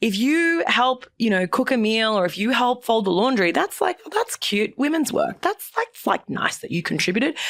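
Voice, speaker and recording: This woman has a strong Australian accent and a high pitch, and her pitch swings very widely. She talks at a moderate pace with hardly any pauses. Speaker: entrepreneur and former journalist. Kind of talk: podcast interview. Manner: animated.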